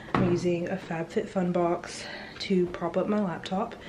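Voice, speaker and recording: Noticeable background noise sits behind a woman speaking. Her pitch is fairly low and her intonation fairly even. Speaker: teacher and vlogger. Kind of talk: vlog narration. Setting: at home. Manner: quiet, hushed; casual, filler-heavy.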